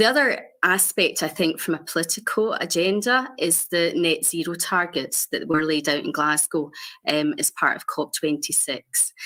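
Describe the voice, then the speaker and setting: A woman's bright, sharp voice in a Scottish accent, with lively intonation and hardly any pauses. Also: fairly low pitch for a woman, moderate pace. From Scotland. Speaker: health innovation director. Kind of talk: conference panel presentation. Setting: video call into conference stage.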